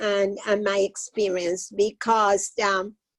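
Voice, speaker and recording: In a dry, close recording with no echo, a woman with a Cuban accent talks at a fairly slow pace. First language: Spanish. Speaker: retired social worker, panelist. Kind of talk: panel discussion. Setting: webinar.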